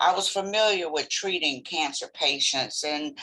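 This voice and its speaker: Her voice sits at a medium pitch, and the woman talks fairly slowly with ordinary pitch variation. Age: 60s. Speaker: cancer survivor, retired X-ray technologist. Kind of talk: testimony.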